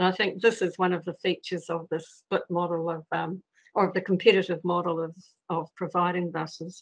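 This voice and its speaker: A woman with a New Zealand accent talks at a fairly quick pace in a fairly low pitch with monotone, flat intonation, the sound dry and close with no echo. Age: 70s. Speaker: member of the public making a submission. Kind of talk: public submission at council meeting. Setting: video call. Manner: hesitant, many fillers.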